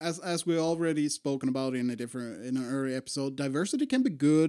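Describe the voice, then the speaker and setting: With a Swedish accent, the speaker moves at a fairly quick pace in a very clean recording with a silent background. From Sweden. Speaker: podcast co-host. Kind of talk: casual chat.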